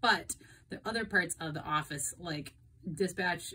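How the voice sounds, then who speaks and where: A woman with a fairly low pitch and a bright, sharp tone talks at a moderate pace with ordinary pitch variation. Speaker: airline dispatcher explaining industry news. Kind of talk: informative explainer talk. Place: home room. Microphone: phone near.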